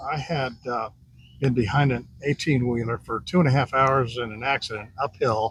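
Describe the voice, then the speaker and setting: Noticeable background noise behind a man's medium-pitched voice, moderate pace and fairly even intonation. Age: 70s. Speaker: pickleball player interviewed. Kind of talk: casual interview. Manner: hesitant, many fillers.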